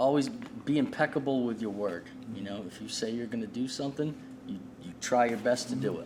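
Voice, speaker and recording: Amid noticeable background noise, a man with a Boston accent talks at a fairly quick pace, with big swings in loudness. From New England, Boston area. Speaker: street artist. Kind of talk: casual interview chat.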